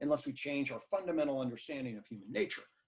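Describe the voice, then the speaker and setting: Somewhat breathy, this voice has lively intonation and an American accent. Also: man. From US, northern Virginia. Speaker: psychology professor. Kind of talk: online talk Q&A. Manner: fast; animated.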